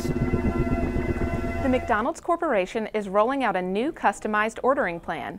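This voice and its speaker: Music plays in the background. Over it, a woman talks with a fairly high pitch. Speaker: news reporter. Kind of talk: broadcast news reporting.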